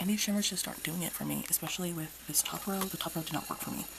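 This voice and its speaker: Noticeable background noise sits under a woman's whispering. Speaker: makeup reviewer. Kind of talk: casual talk to camera. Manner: whispered.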